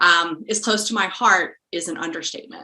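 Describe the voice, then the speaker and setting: An unremarkable speaking voice that moves along at a moderate pace. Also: woman. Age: young. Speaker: podcast co-host. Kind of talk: interview.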